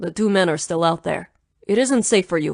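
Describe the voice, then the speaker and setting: A put-on character voice, female-sounding and growling, sits at a middle pitch. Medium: read story. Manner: clipped, authoritative.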